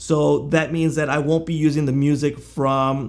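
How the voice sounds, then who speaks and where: A man speaks in a normal speaking voice, fairly high in pitch and at a fairly slow pace. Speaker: software reviewer. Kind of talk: tutorial.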